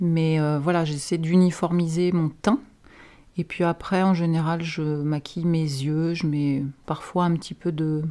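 At a fairly slow pace, a woman with a fairly low pitch speaks in a dark, mellow tone with fairly even intonation. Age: 40s. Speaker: therapist. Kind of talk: interview.

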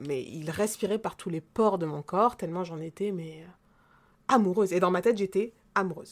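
A woman speaks in an animated tone at a medium pitch and a fairly slow pace, with ordinary pitch variation. The recording is very clean with a silent background. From rural central France. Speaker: podcast co-host. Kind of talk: casual chat.

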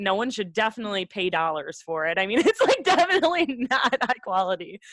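In a normal speaking voice, a woman with a fairly high pitch talks at a fairly quick pace, the sound dry and close with no echo. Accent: American. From Wisconsin, US Midwest. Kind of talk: casual interview chat.

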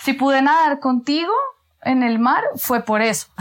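A woman's lively intonation at a fairly slow pace. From Colombia, Bogotá. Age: 30s. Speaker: architect and lecturer. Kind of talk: casual chat.

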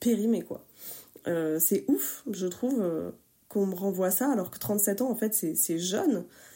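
A dark, mellow tone comes through in a very clean recording with a silent background. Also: woman. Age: 30s. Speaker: testimony contributor. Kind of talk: testimony.

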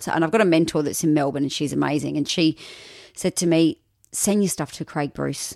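Very deep, low-pitched woman's voice with an Australian accent and fairly even intonation, dry and close with no echo, on a very clean recording with a silent background. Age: 30s. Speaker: radio announcer. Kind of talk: casual chat.

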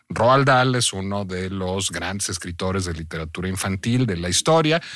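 Here is a man with an ordinary speaking voice. He keeps a moderate pace on a very clean recording with a silent background. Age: 40s. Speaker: podcast host. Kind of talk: casual chat.

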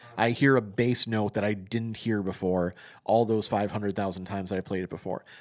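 In a very clean recording with a silent background, a man with a plain, everyday voice speaks at a fairly quick pace with fairly even intonation. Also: fairly low pitch for a man. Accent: American. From Wisconsin, US Midwest. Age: 40s. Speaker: podcast host, music writer. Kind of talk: casual interview conversation.

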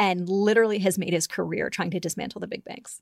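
In a very clean recording with a silent background, a woman with an American accent and a medium pitch speaks very fast with vocal fry, the sound dry and close with no echo. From upstate New York. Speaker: policy analyst. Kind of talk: podcast interview.

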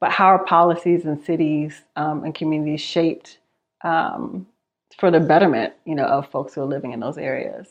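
With an American accent, a woman talks fairly quickly in an unremarkable speaking voice. Her pitch is fairly low, with ordinary pitch variation. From New York, Queens. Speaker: professor and research institute director. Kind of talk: interview.

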